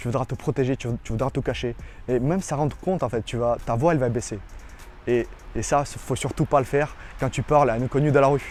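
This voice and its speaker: Someone with a non-native accent talks at a fairly quick pace with ordinary pitch variation as music plays in the background. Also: man, medium pitch for a man. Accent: foreign accent in French. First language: not French (speaking French). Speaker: dating coach. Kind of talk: tutorial. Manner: halting.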